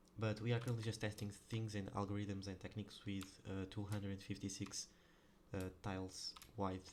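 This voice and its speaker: A man's fairly low voice with a non-native accent, fairly even intonation and a fairly quick pace. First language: not English. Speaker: programmer. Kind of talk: coding tutorial. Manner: halting, many fillers; casual.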